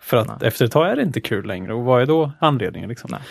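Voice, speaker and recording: A man speaks very fast. The rise and fall of his pitch is ordinary. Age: young. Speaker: podcast co-host. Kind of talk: casual chat.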